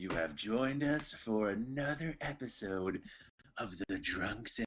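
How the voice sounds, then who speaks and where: Delivered at a very slow pace, the voice is a put-on character voice. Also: man. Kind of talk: podcast host intro. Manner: creepy.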